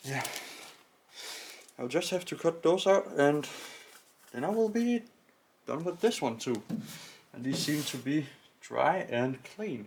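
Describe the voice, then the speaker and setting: A man at a moderate pace with lively intonation. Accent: Danish. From Denmark. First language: Danish. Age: 20s. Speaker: car hobbyist YouTuber. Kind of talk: tutorial. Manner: halting.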